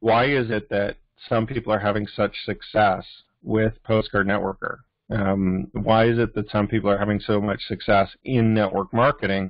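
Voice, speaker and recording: A man with an unremarkable speaking voice talks at a moderate pace in a fairly low pitch. His intonation is fairly even and his loudness very even. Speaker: network marketing team leader. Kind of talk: weekly team training call. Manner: casual, many filler words.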